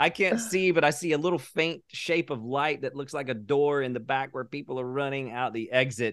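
In a normal speaking voice, a man with an American accent talks at a fairly quick pace with hardly any pauses. His pitch is fairly high, with ordinary pitch variation. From US South, North Carolina. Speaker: artist and arts conference organizer. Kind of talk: casual interview.

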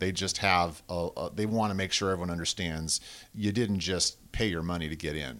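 In a very clean recording with a silent background, a man with a West Coast accent talks at a fairly quick pace. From southern Oregon (Medford), US. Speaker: web development company founder and ski coach. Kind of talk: casual interview.

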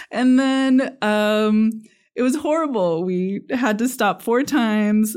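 In a very clean recording with a silent background, a woman with a Californian accent speaks fairly slowly at a fairly high pitch. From California, Sierra foothills (Sonora). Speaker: state politician. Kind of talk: interview.

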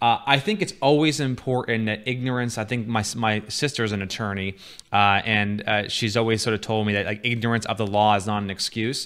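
An unremarkable speaking voice at a fairly quick pace, fairly even intonation and hardly any pauses, on a very clean recording with a silent background. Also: man, medium pitch for a man. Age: 30s. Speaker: podcast host and marketer. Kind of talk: casual chat.

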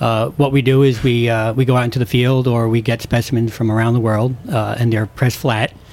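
Medium-pitched male voice over noticeable background noise. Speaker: herbarium supervisor. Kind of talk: casual radio interview, chatty expert explanation just before a break. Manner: animated, rambling, hesitant with fillers.

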